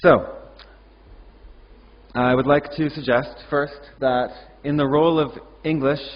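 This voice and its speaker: A man with a Canadian accent speaks with ordinary pitch variation. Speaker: ESL teacher, conference speaker. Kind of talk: conference presentation.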